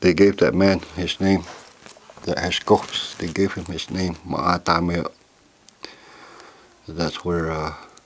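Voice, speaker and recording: Over noticeable background noise, a man with an American accent talks at a fairly slow pace in a very deep, low pitch, his intonation monotone and flat, with long, frequent pauses. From Oklahoma, Cheyenne community. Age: 60s. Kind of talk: oral history storytelling. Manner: halting, with repetitions.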